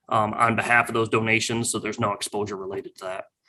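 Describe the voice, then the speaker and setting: Bright and sharp in tone, a man speaks at a very fast pace with fairly even intonation. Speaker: auditor presenter. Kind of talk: webinar presentation.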